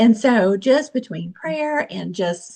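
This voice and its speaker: A somewhat breathy woman's voice at medium pitch. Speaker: direct sales team member. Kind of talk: testimony. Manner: fast; animated.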